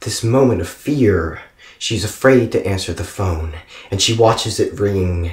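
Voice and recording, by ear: Someone is reading aloud in a natural voice, intonation lively.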